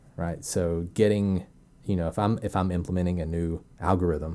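A man with an Arkansas accent speaks at a very deep, low pitch. His tone is dark and mellow. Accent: Arkansas drawl. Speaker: data scientist. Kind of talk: interview. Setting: at home, wife in the room. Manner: hesitant, many fillers.

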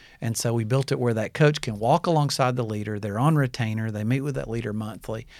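A man talks at a very fast pace with hardly any pauses. The recording is very clean, with a silent background. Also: medium pitch for a man, ordinary pitch variation. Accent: Alabama. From Alabama, US South (Birmingham). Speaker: former pastor, leadership coach. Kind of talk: interview. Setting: studio.

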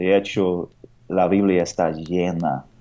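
With an American accent, a man speaks at a very slow pace in a dark, mellow tone and a very deep, low pitch. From United States. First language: English (speaking Spanish). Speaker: pastor and missionary. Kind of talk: radio interview. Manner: halting.

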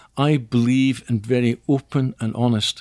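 A man speaks with a Scottish accent. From Scotland. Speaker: investigation training company CEO. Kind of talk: interview.

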